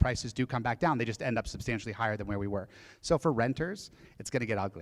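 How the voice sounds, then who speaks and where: In an American accent, the speaker talks at a very fast pace in an animated tone with lively intonation, on a very clean recording with a silent background. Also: man. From Denver, Colorado. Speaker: real estate agent and speaker. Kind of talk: presentation to an audience.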